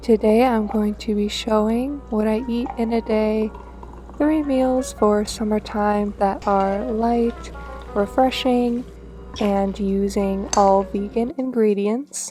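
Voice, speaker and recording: A soft-spoken woman at a very slow pace, fairly high in pitch with fairly even intonation, music in the background. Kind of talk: casual talk to camera, cooking voiceover.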